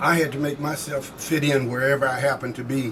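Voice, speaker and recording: There is noticeable background noise as a man talks at a moderate pace. His fairly high voice stays in a flat monotone. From southeast Missouri. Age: 70s. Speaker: army veteran. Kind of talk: oral history interview. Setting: convention floor.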